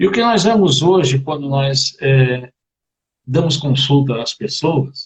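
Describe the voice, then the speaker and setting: Speaking at a very slow pace, a man with a fairly high pitch uses lively intonation in a somewhat breathy voice. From Brazil, Rio de Janeiro (Campo Grande). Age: 60s. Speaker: therapist guest on a live stream. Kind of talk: live stream conversation about family. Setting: online live video stream.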